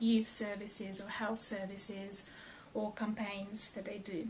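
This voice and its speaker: A woman with a Serbian accent, somewhat breathy and monotone, with flat intonation at a fairly slow pace. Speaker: researcher. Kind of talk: personal testimony.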